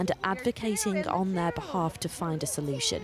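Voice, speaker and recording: With a British accent, a woman speaks at a medium pitch against noticeable background noise. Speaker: news reporter. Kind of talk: news report.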